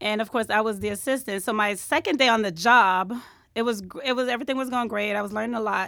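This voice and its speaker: A woman talks at a very fast pace with a fairly high pitch and ordinary pitch variation, in a New York accent. The recording is very clean, with a silent background. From New York, the Bronx. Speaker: hairstylist. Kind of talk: interview. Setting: studio.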